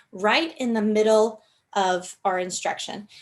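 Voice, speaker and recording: At a fairly slow pace, a woman speaks in a plain, everyday voice with a fairly high pitch. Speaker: instructional technology trainer. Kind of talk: training webinar.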